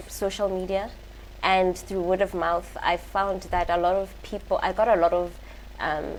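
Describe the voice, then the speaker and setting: At a medium pitch, a woman speaks with monotone, flat intonation. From South Africa, North West, Mafikeng. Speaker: visual artist. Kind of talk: TV interview. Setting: TV studio.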